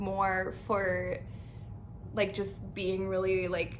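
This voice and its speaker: At a very slow pace, a woman with a western Canadian accent speaks with vocal fry amid audible room echo. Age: 20s. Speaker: lifestyle vlogger. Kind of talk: casual channel introduction. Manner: casual, filler-heavy (like, um).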